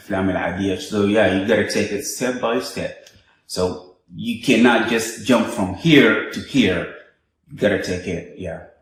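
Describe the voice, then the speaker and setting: A man's fairly low, somewhat breathy voice, fairly slow, with ordinary pitch variation and audible room echo. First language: Arabic. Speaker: interviewer. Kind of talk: casual interview.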